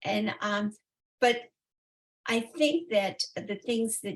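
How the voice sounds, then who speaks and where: The voice is a woman's. It carries a slight breathiness. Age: 80s. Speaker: interview guest, retiree. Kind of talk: interview answer.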